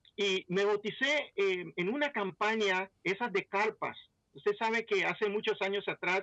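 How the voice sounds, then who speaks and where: Pitched high, this man's voice stands out. He speaks at a fairly slow pace. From Belize. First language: English (speaking Spanish). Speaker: pastor. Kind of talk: testimony.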